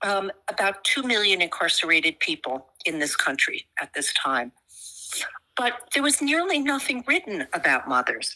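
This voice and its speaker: A woman with a bright, sharp tone and vocal fry swings her pitch very widely at a moderate pace, in a dry, close recording with no echo. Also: medium pitch for a woman. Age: 70s. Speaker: psychotherapist, mother of a prisoner. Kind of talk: interview.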